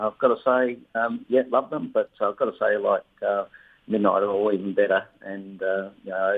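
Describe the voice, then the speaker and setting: A man is speaking with an Australian accent. His pace is moderate. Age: 60s. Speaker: retired government official and accident survivor. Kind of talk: radio interview. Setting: phone call. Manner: hesitant, many fillers.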